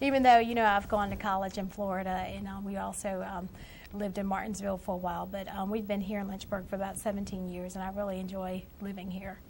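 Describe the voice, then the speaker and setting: Talking very fast with an American accent, a woman with a medium pitch and a somewhat breathy voice keeps a monotone, flat intonation amid audible room echo. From central Virginia (Hurt/Altavista area). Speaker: author. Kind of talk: TV talk show interview. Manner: hesitant, many fillers.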